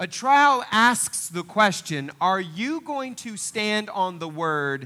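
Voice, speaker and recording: This man has a high pitch and an American accent, with a bright, sharp tone and very wide pitch swings. His voice is raised, projected and animated, recorded very cleanly against a silent background. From Northeast Oklahoma. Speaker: pastor. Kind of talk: sermon. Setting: church.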